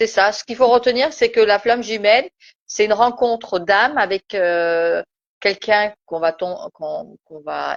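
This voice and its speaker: Speaking at a fairly slow pace in a Turkish accent, a woman's voice sits fairly high in pitch. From Turkish background. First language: Turkish (speaking French). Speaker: spiritual live-stream host. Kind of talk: casual live-stream discussion. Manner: hesitant, many fillers.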